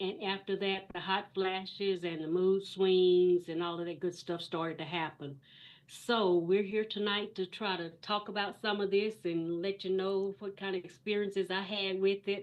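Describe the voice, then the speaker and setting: Here a woman with medium pitch speaks at a moderate pace with hardly any pauses. Her intonation is monotone and flat. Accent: Texan. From East Texas. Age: 60s. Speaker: guest, retired banker. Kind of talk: interview. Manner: hesitant.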